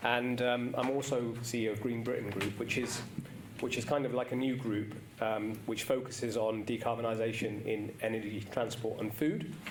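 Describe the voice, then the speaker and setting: A man at a moderate pace with fairly even intonation, amid noticeable background noise and audible room echo. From England, Cheltenham, Gloucestershire. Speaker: business executive. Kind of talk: conference talk. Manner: hesitant with frequent fillers.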